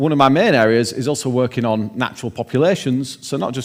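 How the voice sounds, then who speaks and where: A man talks very fast at a medium pitch. His pitch varies in an ordinary way. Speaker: keynote speaker, researcher. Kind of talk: lecture. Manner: casual, with frequent fillers.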